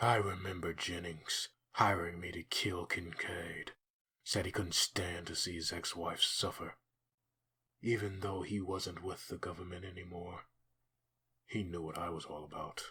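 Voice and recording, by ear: Putting on a character voice, a man speaks at a low pitch with a husky, rough edge and a bright, sharp tone. His pace is fairly slow, with little pitch movement.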